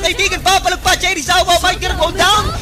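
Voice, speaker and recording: Shouting in a raised, projected voice, a man speaks at a very fast pace with an animated tone and an extremely high pitch. Crowd noise fills the background. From Philippines. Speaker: esports shoutcaster. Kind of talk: live esports commentary. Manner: animated, fast-paced, excitable play-by-play with shouted kills; Taglish, switching between Tagalog and English. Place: booth.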